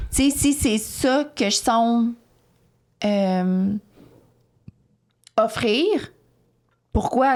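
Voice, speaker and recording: This woman has a fairly high pitch and speaks with a Quebec accent. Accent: Québécois French. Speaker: podcast co-host. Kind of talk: casual chat.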